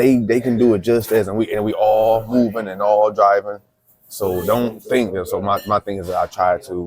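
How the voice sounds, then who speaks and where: A man with a normal speaking voice and an American accent talks at a moderate pace, with a fairly low pitch and fairly even intonation. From Toledo, Ohio, then Marshalltown, Iowa from 14. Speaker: podcast host. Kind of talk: casual interview conversation. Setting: seated in a booth, on camera.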